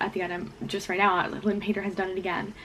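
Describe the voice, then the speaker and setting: A woman speaks in a medium pitch with monotone, flat intonation. Noticeable background noise can be heard. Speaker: booktuber. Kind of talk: casual vlog chat. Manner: fast; quiet.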